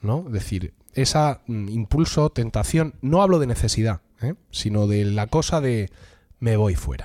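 Speaking with a Murcian accent at a fairly slow pace, a man with a medium pitch and a dark, mellow tone uses lively intonation on a very clean recording with a silent background. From Murcia, Spain. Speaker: podcast host. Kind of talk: casual chat among friends, humorous.

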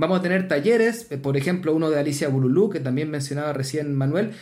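A man's fairly high voice with ordinary pitch variation, in a room with audible echo. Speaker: podcast co-host, storyteller. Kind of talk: casual chat.

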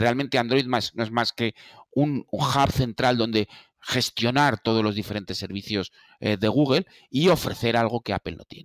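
In a dry, close sound with no echo, a normal speaking voice moves at a fairly slow pace with ordinary pitch variation and big swings in loudness. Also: man, medium pitch for a man. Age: 50s. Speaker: Apple expert. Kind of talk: casual discussion.

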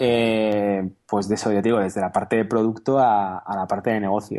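Against a quiet background, a dark, mellow voice moves at a moderate pace in a monotone, flat intonation. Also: man. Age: 30s. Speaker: software entrepreneur and programmer. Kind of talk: interview.

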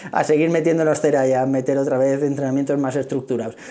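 Speaking fairly quickly at a fairly high pitch, a man is heard with audible room echo and noticeable background noise. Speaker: running podcaster. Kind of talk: casual monologue. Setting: office meeting room.

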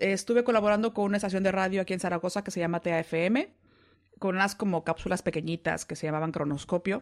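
Talking very fast, a woman keeps her pitch variation ordinary. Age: 40s. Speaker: voice-over announcer and podcaster. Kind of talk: casual interview. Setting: Skype call. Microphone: high-quality studio mic.

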